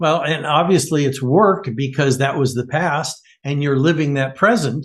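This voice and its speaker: Somewhat breathy and fairly high in pitch, a man speaks at a moderate pace with ordinary pitch variation against a quiet background. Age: 70s. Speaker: podcast host. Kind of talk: podcast interview.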